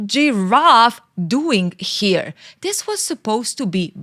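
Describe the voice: This is plain reading aloud. Nothing else is on offer.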